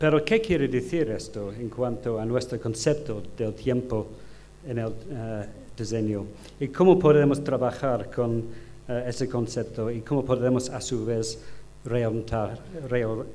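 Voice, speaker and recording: Someone with an English accent speaks at a fairly slow pace with ordinary pitch variation, and room echo is audible. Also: man, medium pitch for a man. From United Kingdom. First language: English (speaking Spanish). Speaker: design professor. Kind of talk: conference lecture. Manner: halting, many fillers.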